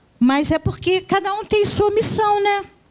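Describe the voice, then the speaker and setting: A woman is speaking. Her pitch makes very wide swings. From Brazil, Rio de Janeiro and Northeast. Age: 60s. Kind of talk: conference lecture. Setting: university auditorium.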